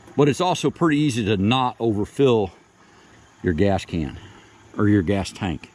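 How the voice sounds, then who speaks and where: A man's voice with very wide pitch swings and noticeable background noise. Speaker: homesteader and sawmill operator. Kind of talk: tutorial. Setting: outdoors.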